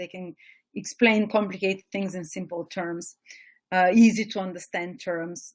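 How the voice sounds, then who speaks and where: With a strong Eastern European accent, a woman speaks at a moderate pace with fairly even intonation. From Bulgaria, small provincial town. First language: Bulgarian. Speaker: astrology teacher. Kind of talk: webinar lecture. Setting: webinar.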